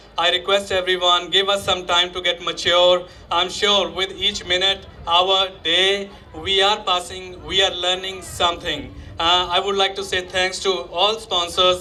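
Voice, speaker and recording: A high-pitched man speaks with monotone, flat intonation at a fairly slow pace, with audible room echo and noticeable background noise. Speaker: youth organisation founder. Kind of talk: public speech. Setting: stage with audience. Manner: halting.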